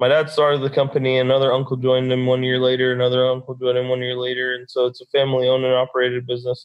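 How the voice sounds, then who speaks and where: With a Texan accent, a man speaks very fast at a medium pitch with hardly any pauses and monotone, flat intonation. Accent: Texan American. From Texas, Dallas. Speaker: construction business owner and brain injury survivor. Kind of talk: interview.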